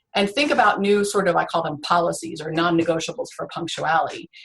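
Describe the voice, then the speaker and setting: A woman speaks at a fairly quick pace. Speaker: ADHD coach. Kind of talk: interview presentation. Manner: fast.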